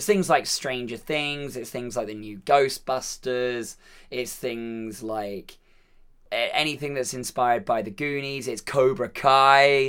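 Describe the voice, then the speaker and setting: A man with a normal speaking voice speaks at a medium pitch and a fairly slow pace, with ordinary pitch variation and big swings in loudness, in a very clean recording with a silent background. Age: 30s. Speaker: film podcast co-host. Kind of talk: casual chat.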